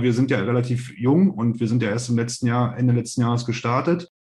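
There is a somewhat breathy quality to a man's medium-pitched voice. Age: 30s. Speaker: startup investor, investment company managing director. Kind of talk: podcast interview. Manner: hesitant, many fillers.

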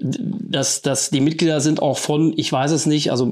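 He has an unremarkable speaking voice, pitched fairly high. The rise and fall of his pitch is ordinary. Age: 50s. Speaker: rock music club board member. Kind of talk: casual chat.

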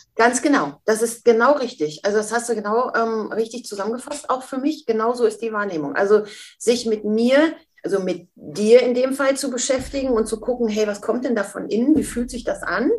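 Woman with an ordinary speaking voice, fairly high pitch, a moderate pace and ordinary pitch variation. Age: 50s. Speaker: mentor and speaker. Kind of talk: interview.

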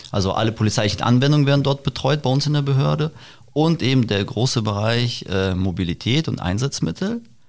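A man speaks at a medium pitch with very even loudness and lively intonation, in a plain, everyday voice, on a very clean recording with a silent background. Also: fairly quick pace. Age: 30s. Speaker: police press officer. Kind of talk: interview. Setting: on location at police helicopter base.

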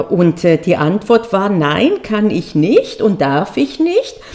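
A woman talks very slowly as noticeable background noise carries on behind her. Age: 40s. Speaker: podcast host and exam coach, former law professor. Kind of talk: solo podcast monologue. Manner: casual with frequent hesitations.

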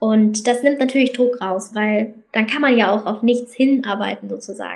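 This woman's high voice moves at a moderate pace, her intonation fairly even. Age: 20s. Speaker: student and magazine founder. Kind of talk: interview conversation.

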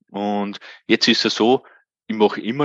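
In a dry, close sound with no echo, a man speaks at a fairly low pitch and a fairly slow pace. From Austria, Upper Austria. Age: 40s. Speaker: self-employed occupational safety specialist. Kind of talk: interview.

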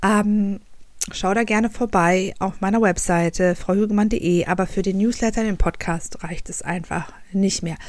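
A woman talks in a plain, everyday voice, with a medium pitch, fairly even intonation and a fairly slow pace. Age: 30s. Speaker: podcast host, journalist and author. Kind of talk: solo podcast monologue.

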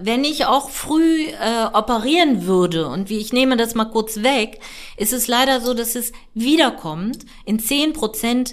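A woman's unremarkable speaking voice at a fairly high pitch. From northern Germany, near Hamburg. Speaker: gynecologist. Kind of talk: interview.

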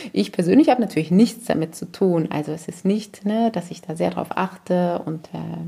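A fairly low-pitched woman at a moderate pace with hardly any pauses, ordinary pitch variation and big swings in loudness, over noticeable background noise. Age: 40s. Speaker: parenting podcaster. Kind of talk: personal monologue.

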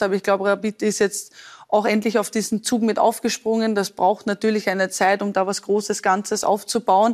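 A woman at medium pitch, monotone and flat, at a fairly quick pace. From Austria, Lower Austria. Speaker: professional football goalkeeper. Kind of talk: talk show interview.

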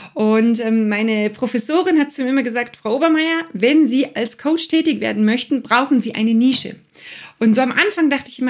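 This speech moves at a fairly quick pace. The intonation rises and falls in a lively way. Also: woman. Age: 40s. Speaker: coach and podcast host. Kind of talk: casual interview.

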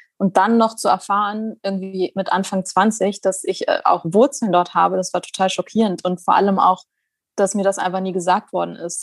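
The woman's intonation is monotone and flat. Her sound is dry and close, with no echo. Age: 20s. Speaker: doctor and journalist. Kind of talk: casual chat.

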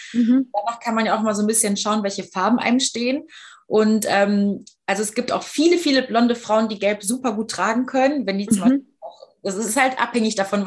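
A somewhat breathy woman with a fairly high pitch. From Düsseldorf, western Germany. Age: 30s. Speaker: fashion blogger and patient ambassador. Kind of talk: casual interview chat.

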